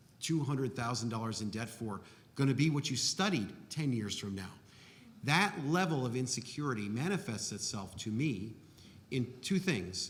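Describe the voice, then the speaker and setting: At a moderate pace, a man speaks with lively intonation and a somewhat breathy sound. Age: 60s. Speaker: architect. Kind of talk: panel discussion.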